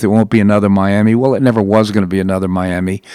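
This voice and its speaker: At a fairly quick pace, a man uses a normal speaking voice with fairly even intonation. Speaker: radio talk show host. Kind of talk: talk radio interviews and news commentary. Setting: studio.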